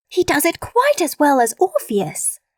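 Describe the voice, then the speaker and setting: Squeaky and extremely high, a woman's put-on character voice comes through. Her tempo is moderate. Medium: audio drama.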